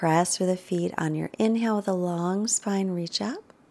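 Over a very clean recording with a silent background, a woman speaks in a calm, soothing, dark and mellow tone with ordinary pitch variation. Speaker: yoga teacher. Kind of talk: guided yoga class instruction. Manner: calm, soothing, steady cueing pace.

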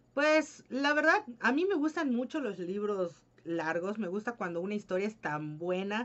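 Very wide pitch swings from a woman at a moderate pace. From Mexico, Yucatán. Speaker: book youtuber. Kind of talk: casual Q&A vlog. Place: home room. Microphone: webcam.

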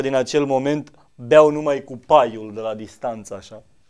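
In a quiet background, a man speaks at a moderate pace with fairly even intonation. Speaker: comedian in a parody interview. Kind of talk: comedic interview answer. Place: studio. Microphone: studio mic.

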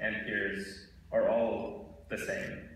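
A man's voice with strong room echo and light background noise. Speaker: presenter. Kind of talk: closing remarks of a school presentation. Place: stage. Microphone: handheld.

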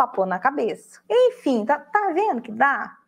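Against a quiet background, a woman speaks at a fairly slow pace in an animated tone with lively intonation. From Brazil. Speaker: online crafting instructor. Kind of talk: live stream tutorial talk. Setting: live online broadcast. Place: office.

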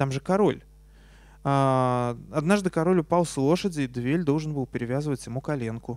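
An ordinary speaking voice from a man, fairly high in pitch, at a moderate pace with ordinary pitch variation and a dry sound with no echo. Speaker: science journalist and author; science journalist. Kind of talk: lecture. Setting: stage with audience. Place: hall. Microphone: handheld.

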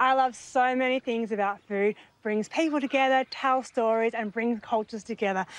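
The intonation stays fairly even. The sound is dry, without echo. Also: woman, fairly high pitch for a woman, moderate pace. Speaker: TV cooking show host. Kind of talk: TV show presenting. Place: garden.

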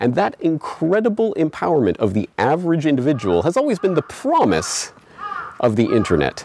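A man talks at a fairly quick pace with very even loudness. The sound is dry with no echo, over light background noise. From Canada. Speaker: independent journalist and web host; independent journalist, web host. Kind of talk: scripted monologue to camera.

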